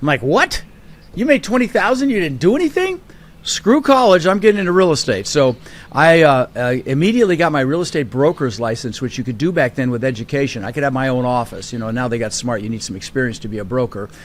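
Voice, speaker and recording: Over noticeable background noise, a man with a fairly high pitch talks very fast in an animated tone with very wide pitch swings. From Colorado, US (Denver), immigrant from Netherlands at six. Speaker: real estate investor. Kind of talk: podcast interview.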